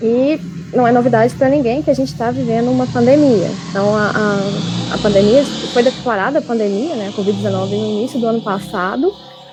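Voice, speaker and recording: Over noticeable background noise, a woman talks at a fairly quick pace with a fairly high pitch and very wide pitch swings. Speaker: graduate researcher presenting her work. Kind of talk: academic webinar talk. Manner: fast; animated.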